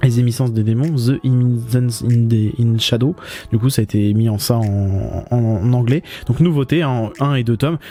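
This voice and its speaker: Music plays in the background as a man speaks at a medium pitch and a moderate pace. His loudness stays very even. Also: ordinary pitch variation. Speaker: manga vlogger. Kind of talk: casual vlog commentary in bookshop. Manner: stammering, halting; casual, many fillers.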